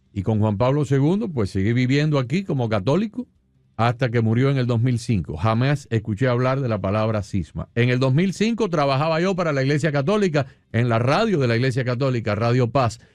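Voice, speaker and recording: A man speaks at a fairly quick pace with lively intonation and very even loudness, with music in the background. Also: medium pitch for a man. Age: 60s. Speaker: radio host. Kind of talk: radio interview.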